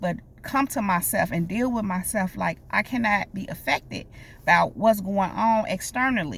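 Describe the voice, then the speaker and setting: On a very clean recording with a silent background, a woman with a medium pitch speaks in an animated tone, showing vocal fry and ordinary pitch variation. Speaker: life coach and prophetic speaker. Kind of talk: prophetic message to viewers. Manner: occasional stutter, pushing words out; animated, direct address.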